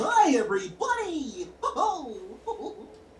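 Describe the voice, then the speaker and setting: Someone uses a put-on character voice at an extremely high pitch and a very slow pace, with clear background noise behind it. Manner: cheerful greeting.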